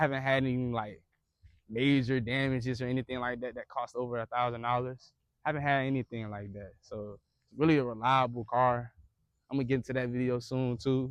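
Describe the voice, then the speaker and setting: In a quiet background, a man speaks at a fairly quick pace with a medium pitch and monotone, flat intonation. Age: 20s. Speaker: car vlogger. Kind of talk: casual vlog. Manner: stuttering; hurried.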